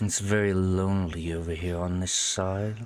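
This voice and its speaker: A put-on character voice at a moderate pace. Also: man, very deep, low pitch for a man. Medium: actual play. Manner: calm, intimate, persuasive.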